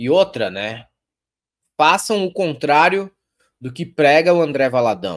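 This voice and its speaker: The speech is very slow, broken by long, frequent pauses. Pitch swings very widely over a quiet background. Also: man. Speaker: commentary host. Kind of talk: heated commentary, sarcastic. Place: home room.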